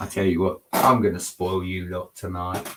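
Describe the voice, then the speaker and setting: A man speaks with an English accent. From England. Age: 40s. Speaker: Lego builder streamer. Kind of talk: live stream chat. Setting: home at night.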